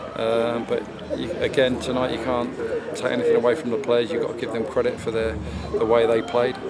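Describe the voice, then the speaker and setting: Loud background noise sits under speech that moves at a moderate pace. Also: man. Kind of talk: post-match interview answer. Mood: disappointed but measured. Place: stadium.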